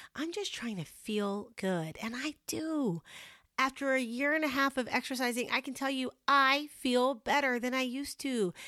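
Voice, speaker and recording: Her voice raised and projected, a woman speaks at a moderate pace with a high pitch, a bright, sharp tone and lively intonation, in a very clean recording with a silent background. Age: 40s. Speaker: podcast host. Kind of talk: motivational monologue. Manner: casual, chatty.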